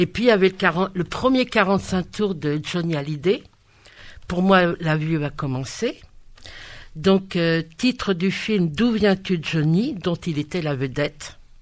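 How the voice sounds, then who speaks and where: On a very clean recording with a silent background, a woman with a fairly low pitch speaks at a very slow pace with lively intonation. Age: 60s. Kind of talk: casual chat.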